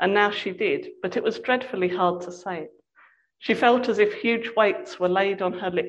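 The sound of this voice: Ordinary pitch variation runs through an unforced reading voice over a quiet background.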